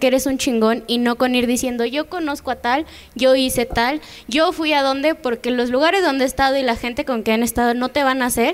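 In a Mexican accent, a woman talks at a fairly quick pace with a high pitch and ordinary pitch variation. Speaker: show co-host; show host. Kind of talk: casual interview. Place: studio. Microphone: handheld.

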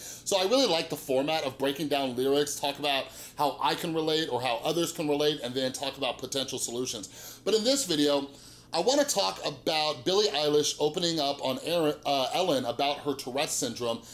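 A man with ordinary pitch variation at a fairly quick pace. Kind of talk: casual vlog chat. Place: home room.

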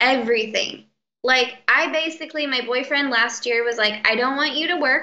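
A woman projects a raised, high-pitched voice with a bright, sharp tone. She keeps a moderate pace and ordinary pitch variation. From Mexican-American background. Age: 20s. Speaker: chronic illness patient sharing recovery story; interview guest. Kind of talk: interview. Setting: call. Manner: animated. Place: home room. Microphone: video call.

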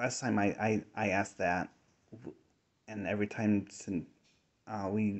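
The background is quiet. A man speaks with a fairly low pitch. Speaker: ghost hunter. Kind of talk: hesitant questions to spirits. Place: tunnel cave.

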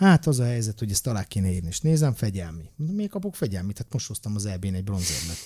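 Against a quiet background, a man talks at a fairly quick pace and medium pitch, his voice somewhat breathy with a dark, mellow tone and lively intonation. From Hungary. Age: 40s. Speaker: former wrestler and coach; coach. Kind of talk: casual chat. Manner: animated. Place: studio. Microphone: studio mic.

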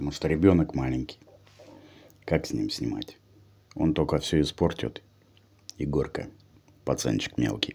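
This man's voice sits very deep and low. He talks at a moderate pace with ordinary pitch variation. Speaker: mukbang vlogger. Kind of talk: casual vlog chat. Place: home room. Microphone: phone near.

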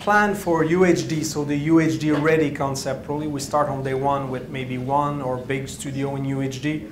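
With audible room echo, a man talks at a fairly slow pace and a medium pitch.

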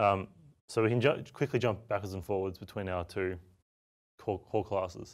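Fairly even intonation from a man with an Australian accent and a fairly low pitch, moderate pace with long, frequent pauses, quiet background. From Australia, Melbourne. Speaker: software developer and tool maker. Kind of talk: software demo tutorial. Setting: studio. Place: studio.

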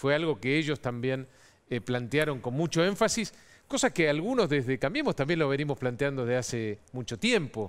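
A man speaks at a moderate pace, his fairly high voice carrying lively intonation. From Argentina. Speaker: government minister; guest. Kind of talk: political interview. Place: studio. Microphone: headset.

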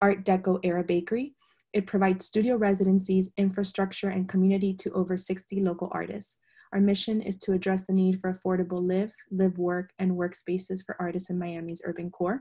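Over a quiet background, a woman talks at a fairly quick pace in a somewhat breathy voice with a dark, mellow tone and monotone, flat intonation. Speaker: moderator for an arts organization. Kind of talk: webinar introduction. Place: home room. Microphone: video call.

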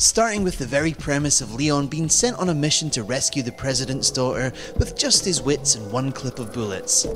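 Over music in the background, a man with a fairly high pitch talks with hardly any pauses. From Europe. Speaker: games company community presenter. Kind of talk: casual video commentary. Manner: humorous, wry.

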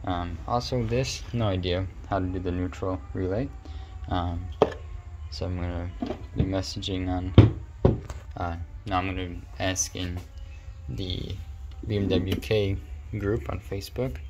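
A man speaks with ordinary pitch variation and long, frequent pauses. Music plays in the background. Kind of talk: casual vlog chat. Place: garage. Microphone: phone near.

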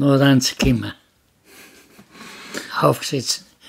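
Over a quiet background, a man speaks with a Bavarian accent. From Upper Bavaria; Bavaria, Germany. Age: 80s+. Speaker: war veteran; witness. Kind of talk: interview answer. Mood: cheerful, laughing while telling. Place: home room. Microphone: studio mic.

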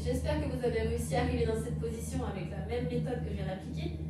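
A woman is heard over loud background noise. There is audible room echo. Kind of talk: exercise class instruction. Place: home room.

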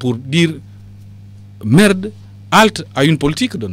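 A man talks with lively intonation. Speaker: party politician. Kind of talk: radio interview.

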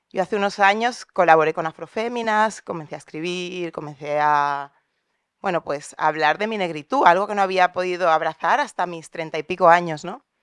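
Moderate pace, ordinary pitch variation and big swings in loudness, with a dry, echo-free sound over a quiet background. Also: woman, fairly low pitch for a woman. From Valencia, Spain; Spain. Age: 40s. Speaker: audience member. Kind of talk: audience question. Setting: auditorium with audience. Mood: personal, reflective. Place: hall. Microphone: handheld.

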